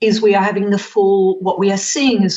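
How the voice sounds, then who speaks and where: Noticeable background noise sits behind a woman speaking with an Australian accent. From Western Australia, Perth. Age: 60s. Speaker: whole food educator. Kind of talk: podcast interview.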